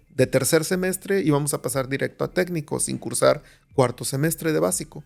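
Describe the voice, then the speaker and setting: This man speaks fairly quickly in a fairly high pitch. Vocal fry runs through his voice. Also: ordinary pitch variation. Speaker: psychiatrist. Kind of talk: podcast interview. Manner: animated storytelling.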